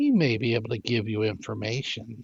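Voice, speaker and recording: A man's croaky put-on character voice with very wide pitch swings, dry and close with no echo. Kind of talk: archaic, formal.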